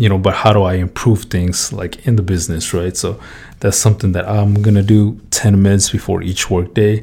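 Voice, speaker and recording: Somewhat breathy and dark, mellow in tone, a man with fairly low pitch talks at a fairly quick pace. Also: fairly even intonation. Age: 20s. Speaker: podcast host, construction worker. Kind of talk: casual monologue. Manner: casual, filler-heavy.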